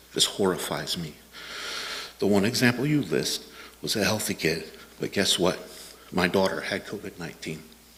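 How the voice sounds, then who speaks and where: A man with a very deep, low voice speaks at a moderate pace over noticeable background noise. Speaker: parent speaking at public comment. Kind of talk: public comment testimony. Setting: school board meeting.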